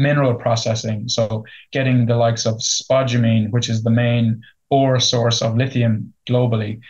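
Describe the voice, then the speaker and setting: In an Irish accent, a man talks at a medium pitch and a moderate pace, somewhat breathy and monotone with flat intonation, against a quiet background. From Ireland. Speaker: company CEO. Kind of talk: business interview. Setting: remote interview. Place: office. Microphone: video call.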